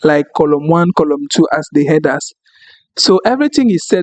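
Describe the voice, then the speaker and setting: High-pitched male speech at a moderate pace with lively intonation and a dry, close sound with no echo. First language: French. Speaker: data analyst tutor. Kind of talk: tutorial. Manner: halting.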